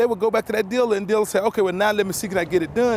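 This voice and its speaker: Over noticeable background noise, a man with an American accent speaks at a high pitch in an energetic, enthusiastic tone with ordinary pitch variation. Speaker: car salesman. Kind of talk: local TV infomercial pitch.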